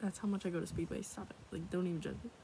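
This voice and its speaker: A woman with an American accent, dry with no echo, over noticeable background noise. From United States. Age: 20s. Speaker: ASMR creator. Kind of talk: casual talk to camera. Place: home room. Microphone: phone near.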